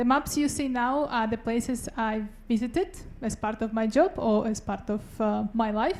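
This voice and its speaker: The speaker has a Russian accent and ordinary pitch variation. The pace is moderate. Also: woman. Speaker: doctoral student researcher. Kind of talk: short research talk (Ignite talk).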